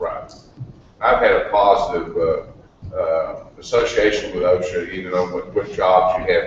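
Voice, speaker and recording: A man keeps a moderate pace while noticeable background noise and audible room echo surround his voice. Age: 60s. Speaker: retired construction worker. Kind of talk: audience question.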